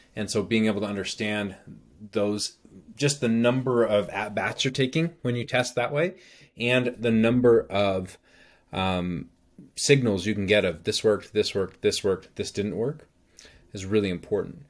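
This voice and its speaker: On a very clean recording with a silent background, a man with an unremarkable speaking voice talks at a moderate pace in a fairly low pitch with ordinary pitch variation. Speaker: marketing trainer. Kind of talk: presentation walkthrough. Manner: casual with fillers.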